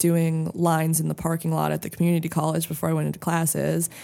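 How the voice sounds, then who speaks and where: Speaking at a fairly quick pace, a woman with an American accent has a fairly low pitch and a dark, mellow tone. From US Southwest, Santa Fe, New Mexico. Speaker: podcast guest sharing addiction and rehab story. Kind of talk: casual chat, personal testimony. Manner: animated, laughs often.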